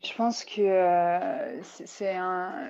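Quiet background behind a medium-pitched woman. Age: 20s. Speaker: paralympic alpine skier. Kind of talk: interview.

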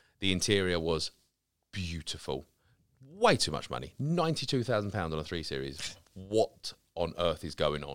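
Lively intonation and vocal fry in a man's very deep, low voice. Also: moderate pace. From Essex, near Romford (east London edge). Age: 30s. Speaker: car care brand founder. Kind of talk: casual chat. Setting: studio.

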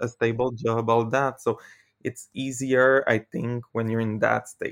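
With a Quebec French accent, a man speaks at a moderate pace and with fairly even intonation, in a dry, close sound with no echo. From Quebec, Canada. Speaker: former theme park worker. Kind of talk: casual chat. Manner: halting.

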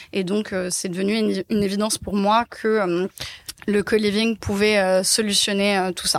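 A woman's medium-pitched, monotone, flat voice at a very slow pace, dry and close with no echo. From Paris, France. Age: 20s. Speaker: social entrepreneur. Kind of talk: interview conversation. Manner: hesitant, many fillers.

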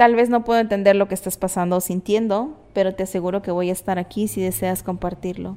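Very clean recording with a silent background, a woman at medium pitch with a dark, mellow tone, fairly even intonation, a fairly quick pace and hardly any pauses. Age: 30s. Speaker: podcast host. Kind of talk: personal monologue.

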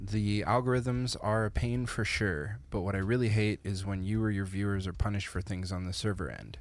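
A man with a Canadian accent and an unremarkable speaking voice talks fairly quickly with hardly any pauses, keeping his fairly low pitch at fairly even intonation. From small-town Canada. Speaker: podcast co-host. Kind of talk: casual chat.

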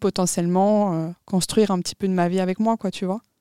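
This woman has an unremarkable speaking voice at medium pitch. Her intonation stays fairly even. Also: dry, close sound with no echo, very clean recording, silent background. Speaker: podcast co-host, student. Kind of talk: casual chat.

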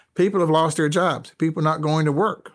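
The recording is very clean with a silent background. A man speaks in a fairly high voice. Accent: Southern US. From US South, North Carolina. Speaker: university professor of logistics. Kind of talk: interview conversation.

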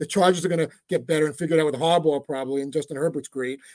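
Someone speaks with a New York accent, and the sound is dry and close with no echo. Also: man. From New York, Brooklyn. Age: 50s. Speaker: sports radio producer. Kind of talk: casual interview. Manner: fast; animated.

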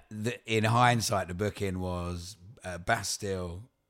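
In an Essex accent, the speaker talks at a very slow pace with fairly even intonation. Music plays in the background. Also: man. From Essex, England. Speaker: touring folk singer-songwriter. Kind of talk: casual interview chat.

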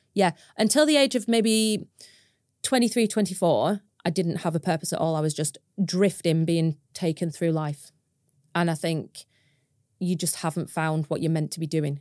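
A woman speaks in a Lancashire accent at a fairly low pitch, with ordinary pitch variation. Her speech has long, frequent pauses, and the sound is dry and close with no echo. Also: moderate pace. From northern England, Preston, Lancashire. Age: 30s. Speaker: farmer and social media creator. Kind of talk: interview conversation.

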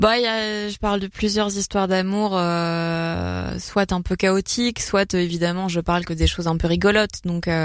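A woman at a medium pitch and a fairly slow pace, with fairly even intonation. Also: hardly any pauses. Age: young. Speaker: stand-up comedian. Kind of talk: casual chat. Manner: hesitant, many fillers.

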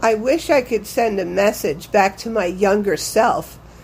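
A woman's fairly high voice at a fairly slow pace, with ordinary pitch variation and an unremarkable speaking voice. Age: 60s. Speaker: listener. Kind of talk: voice memo.

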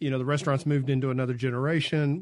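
A man speaks with a Mississippi accent. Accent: US Southern (Mississippi). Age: 50s. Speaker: radio host. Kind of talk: radio interview. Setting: radio studio. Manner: casual.

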